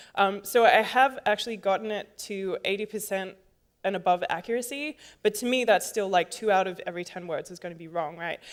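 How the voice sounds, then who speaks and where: Using an American accent, a woman with a medium pitch speaks at a fairly quick pace. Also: ordinary pitch variation, big swings in loudness, very clean recording, silent background. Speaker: conference speaker, software developer. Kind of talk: conference talk. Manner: casual, many fillers.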